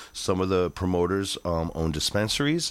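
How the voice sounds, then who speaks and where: Here a man with an American accent speaks with a very deep, low pitch and ordinary pitch variation. The recording is very clean, with a silent background. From Chicago. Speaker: keyboardist and music producer. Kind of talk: casual interview. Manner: halting, many fillers.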